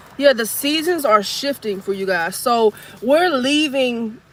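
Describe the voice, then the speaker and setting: High-pitched female voice with ordinary pitch variation, noticeable background noise behind it. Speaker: psychic medium doing tarot readings. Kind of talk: live collective tarot reading. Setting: outdoors in cold air. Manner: casual, conversational.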